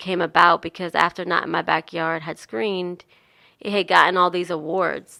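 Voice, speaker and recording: A woman with a New Jersey accent speaks at a moderate pace. Her fairly low voice has a bright, sharp tone in a very clean recording with a silent background. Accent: New Jersey accent, clearly there. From New Jersey, US. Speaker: nonprofit founder and activist. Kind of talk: radio interview. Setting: radio studio.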